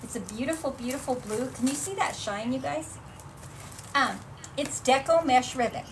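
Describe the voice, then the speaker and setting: Audible room echo and noticeable background noise surround a woman speaking at high pitch with lively intonation. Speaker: craft shop presenter. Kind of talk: live tutorial. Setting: livestream. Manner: fast; animated.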